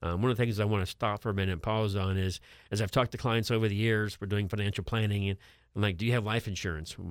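A man with an American accent races along at a very fast pace, his fairly low voice keeping fairly even intonation. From Florida, Brooksville. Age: 50s. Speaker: certified public accountant, financial advisor. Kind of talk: radio talk show discussion. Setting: studio.

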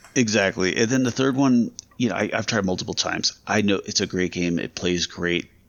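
An ordinary speaking voice in an American accent, at a fairly quick pace with ordinary pitch variation. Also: man, fairly low pitch for a man. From Las Vegas, US. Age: 30s. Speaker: podcast co-host. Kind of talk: casual chat.

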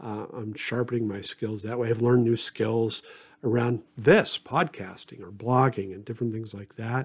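In an ordinary speaking voice, a man talks at a moderate pace and a medium pitch, with fairly even intonation and big swings in loudness. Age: 50s. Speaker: pastor. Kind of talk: solo podcast talk. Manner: many filler words.

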